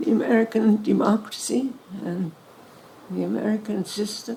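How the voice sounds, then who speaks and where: Someone with a Hungarian accent talks with ordinary pitch variation over noticeable background noise. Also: woman. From Hungary. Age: 90s. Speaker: Holocaust survivor. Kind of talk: interview Q&A with audience.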